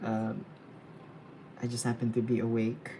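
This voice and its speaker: A soft-spoken voice delivered at a moderate pace. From Philippines. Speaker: freelance illustrator streaming live drawing. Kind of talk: casual live-stream chat while drawing. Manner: quiet, soft-spoken; halting, repeats words.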